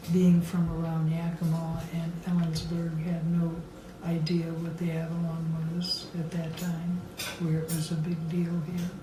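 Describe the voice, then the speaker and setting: The speaker goes at a fairly slow pace with monotone, flat intonation. Noticeable background noise sits behind the voice. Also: woman, fairly low pitch for a woman. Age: 80s+. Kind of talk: interview answer.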